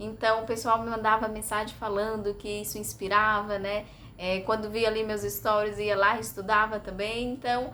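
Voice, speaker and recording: Audible room echo surrounds a woman whose fairly high pitch stays in a monotone, flat intonation at a moderate pace. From Brazil, Bahia. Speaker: vlogger. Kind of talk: casual vlog monologue. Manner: hesitant, many fillers.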